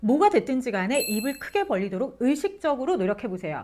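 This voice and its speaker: Very wide pitch swings mark this woman's high, animated voice as she talks at a fairly quick pace. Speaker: interview coach and former broadcaster. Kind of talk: tutorial.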